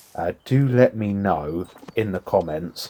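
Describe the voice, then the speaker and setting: Soft-spoken, a man with a British accent has a dark, mellow tone and a fairly low pitch. His intonation is lively. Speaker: gaming YouTuber. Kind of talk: let's play commentary. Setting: home recording. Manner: soft-spoken, talking quietly; relaxed, chill.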